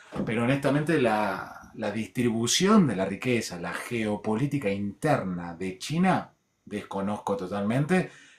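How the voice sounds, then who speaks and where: A man's plain, everyday voice, fairly low in pitch, with lively intonation at a fairly slow pace. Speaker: show host. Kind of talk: casual debate.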